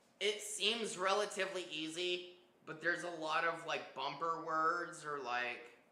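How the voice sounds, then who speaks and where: A man's high voice at a very slow pace, with audible room echo and noticeable background noise. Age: 30s. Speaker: artist streaming live painting. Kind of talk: casual live stream chat. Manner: hesitant, many fillers like um and uh.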